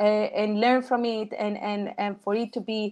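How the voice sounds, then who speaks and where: A woman with a Colombian accent speaks in a fairly high pitch with monotone, flat intonation. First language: Spanish. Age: 30s. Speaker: engineer and volunteer speaker. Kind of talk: Q&A after a talk. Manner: halting.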